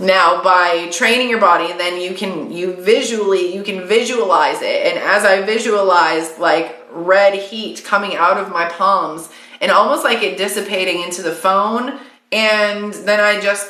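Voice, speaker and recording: A woman at a medium pitch with fairly even intonation, amid audible room echo and noticeable background noise. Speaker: psychic medium. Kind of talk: live stream card reading. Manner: fast; casual, chatty.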